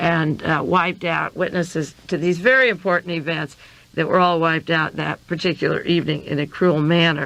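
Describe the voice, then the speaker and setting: A woman's unremarkable speaking voice, fairly low in pitch, at a moderate pace against a quiet background. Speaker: radio host, conspiracy researcher. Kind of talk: radio monologue reviewing news articles.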